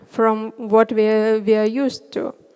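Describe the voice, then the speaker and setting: A woman with a Russian accent talks fairly slowly at a fairly high pitch against a quiet background. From Northern Russia. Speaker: front end developer; conference speaker. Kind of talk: conference talk. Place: stage. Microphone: headset.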